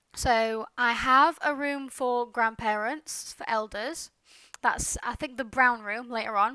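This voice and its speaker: A woman's bright, sharp, high voice in a British accent, with ordinary pitch variation and big swings in loudness, on a very clean recording with a silent background. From Britain. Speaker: gaming YouTuber. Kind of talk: casual commentary over gameplay. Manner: hesitant, with many fillers. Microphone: headset mic too close, popping, no pop filter.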